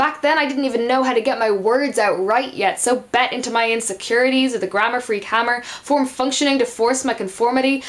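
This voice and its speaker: With noticeable background noise behind her, a woman speaks in a high pitch with fairly even intonation. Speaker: spoken word poet. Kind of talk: spoken word poetry performance.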